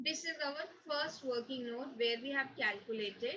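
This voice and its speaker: Light background noise sits behind a woman's voice. Her pitch is high, with ordinary variation. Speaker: accountancy teacher. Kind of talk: lecture. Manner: slow. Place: home room. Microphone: webcam.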